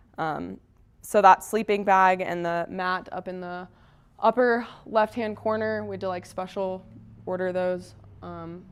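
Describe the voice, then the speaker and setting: In an American accent, a woman speaks at medium pitch with monotone, flat intonation. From Texas, Dallas suburbs. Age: 20s. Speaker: mountaineer. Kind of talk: presentation. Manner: casual, conversational.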